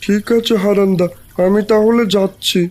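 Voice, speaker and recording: In a cartoonish character voice, a man talks at a high pitch with monotone, flat intonation. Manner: scheming, two-faced.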